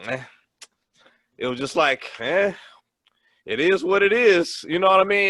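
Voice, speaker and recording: Bright and sharp in tone, a man's voice moves at a moderate pace with lively intonation. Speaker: sports podcast host. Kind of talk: casual chat.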